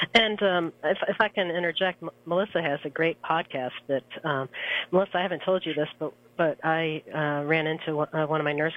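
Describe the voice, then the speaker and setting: At a moderate pace, a woman speaks in a very deep, low pitch with ordinary pitch variation. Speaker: nursing professor and journal editor. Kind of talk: radio interview. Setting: phone call. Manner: hesitant, filler words.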